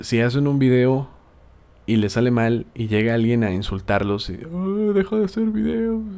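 Speaking at a moderate pace, a man uses a dark, mellow tone at medium pitch with very wide pitch swings. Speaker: gaming youtuber and podcast host. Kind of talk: casual podcast monologue.

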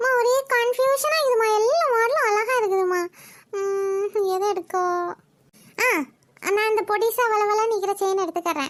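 A woman's cartoonish character voice at an extremely high pitch, with very even loudness. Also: fairly slow pace.

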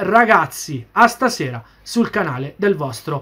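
A man's voice, bright and sharp in tone, swings very widely in pitch. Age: 40s. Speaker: football YouTuber; football fan vlogger. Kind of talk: video commentary monologue. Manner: repetitive, animated. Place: home room. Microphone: webcam.

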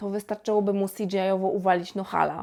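With a dark, mellow tone, a woman talks at a fairly quick pace. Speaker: YouTube film reviewer. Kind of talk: film review monologue.

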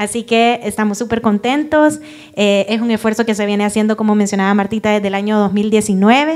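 A woman speaks in an ordinary speaking voice. Her pitch is fairly high and her intonation fairly even. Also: fairly quick pace. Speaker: cluster project specialist. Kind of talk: welcome speech. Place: hall. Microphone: handheld.

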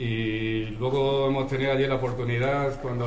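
With audible room echo and light background noise, a man at medium pitch talks at a moderate pace in a flat, monotone way. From Cáceres, Extremadura, Spain. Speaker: Civil Guard captain. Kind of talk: farewell speech. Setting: public event with audience. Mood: grateful, warm. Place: cafe. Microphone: camera far.

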